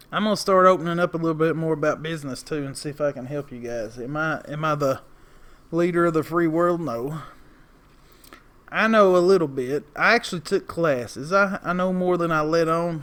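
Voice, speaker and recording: In a strong Appalachian accent, a man talks at a fairly high pitch. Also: ordinary pitch variation. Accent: heavy Southern Appalachian, drawn-out vowels. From Appalachia, East Tennessee. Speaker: lawn care business owner and video creator. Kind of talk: casual vlog monologue. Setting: outdoors outside a store. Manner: rambling, talkative.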